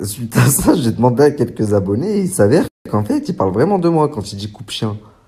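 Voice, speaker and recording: His voice has a dark, mellow tone and is somewhat breathy. The man sits at a medium pitch but makes very wide pitch swings. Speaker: social media influencer. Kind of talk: vlog monologue. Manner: hesitant, many fillers; soft-spoken.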